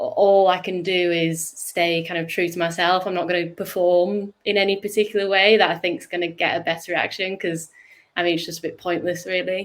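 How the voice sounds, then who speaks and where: In a northern English accent, a woman with fairly low pitch speaks at a moderate pace with monotone, flat intonation. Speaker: startup co-founder. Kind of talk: interview. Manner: halting.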